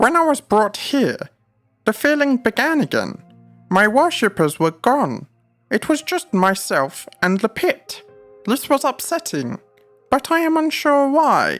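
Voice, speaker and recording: A put-on character voice speaks at a high pitch and a fairly slow pace. Faint music plays in the background. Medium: read story. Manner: lofty, archaic speech.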